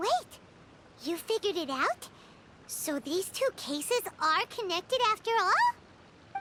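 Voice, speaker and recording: An extremely high put-on character voice speaks at a fairly slow pace with long, frequent pauses. Background noise is clearly audible. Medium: video game. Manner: exclamatory.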